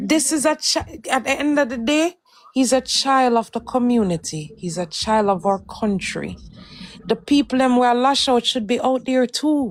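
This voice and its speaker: A woman's high-pitched voice at a moderate pace, with lively intonation and a Jamaican accent. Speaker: live stream host. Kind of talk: heated debate.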